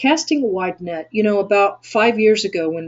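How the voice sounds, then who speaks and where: This woman speaks with a Texan accent at a medium pitch. Her intonation is lively. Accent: Texan American. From Texas. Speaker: SEO agency owner and webinar teacher. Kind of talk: webinar tutorial.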